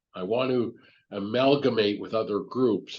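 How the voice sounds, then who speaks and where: Against a quiet background, a man speaks with vocal fry. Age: 60s. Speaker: business owner and mentor. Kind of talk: podcast interview.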